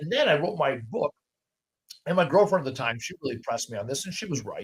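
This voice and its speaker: Loud and animated, a man with a fairly high pitch talks at a very fast pace with very wide pitch swings. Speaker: podcast host; junk removal business owner. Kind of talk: casual interview conversation. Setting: in-person podcast recording.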